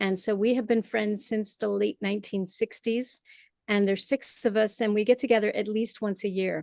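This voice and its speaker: With an American accent, a woman speaks at a moderate pace in a fairly high pitch, her intonation fairly even and the sound dry and close with no echo. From Michigan, US. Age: 60s. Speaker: playwright and performer. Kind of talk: interview. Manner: halting.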